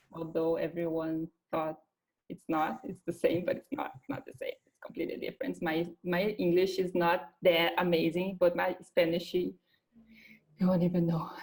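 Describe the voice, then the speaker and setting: A woman speaks with a Brazilian Portuguese accent at a fairly low pitch. Her loudness swings widely while her pitch variation stays ordinary. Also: moderate pace. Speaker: recruiter. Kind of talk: interview. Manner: halting.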